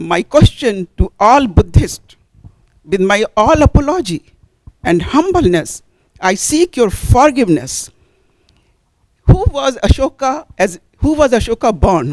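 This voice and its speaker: A woman in an Indian accent, very slow with very wide pitch swings, in a dry, close sound with no echo. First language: Hindi. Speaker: audience member asking a question; Hindi teacher. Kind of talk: audience question at panel discussion.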